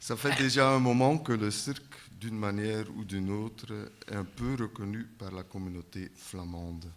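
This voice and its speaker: A man with a Flemish accent talks at a fairly slow pace in a fairly low pitch. Audible room echo surrounds his voice. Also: ordinary pitch variation. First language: Dutch (speaking French). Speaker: circus centre director. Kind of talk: conference panel talk.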